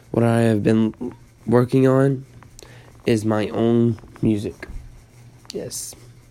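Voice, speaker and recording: A man speaks very slowly with long, frequent pauses. His voice is dark and mellow at a medium pitch, with monotone, flat intonation. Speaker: amateur podcaster and beat maker. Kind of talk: casual update monologue. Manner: halting.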